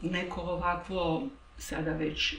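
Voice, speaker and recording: A woman speaks very slowly at a fairly low pitch. The room echo is audible and background noise is noticeable. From Croatia. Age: 60s. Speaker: interviewee. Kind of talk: personal interview. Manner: reflective, halting.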